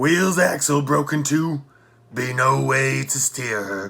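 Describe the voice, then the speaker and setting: A raspy put-on character voice from a man at a fairly slow pace. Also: medium pitch for a man. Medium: read story.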